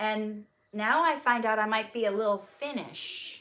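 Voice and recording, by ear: This voice has a bright, sharp tone and lively intonation in a Minnesotan accent. The pace is very slow. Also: woman. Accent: Minnesota.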